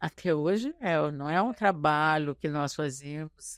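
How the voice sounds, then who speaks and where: On a very clean recording with a silent background and a dry, close sound with no echo, a woman speaks very slowly in a very deep, low pitch with ordinary pitch variation. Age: 80s+. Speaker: activist and journalist. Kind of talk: interview. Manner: animated.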